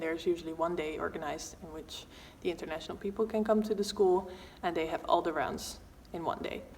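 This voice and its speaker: A woman's unremarkable speaking voice at a medium pitch, fairly quick in pace, with ordinary pitch variation. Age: 20s. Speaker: dance student. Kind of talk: informational talk.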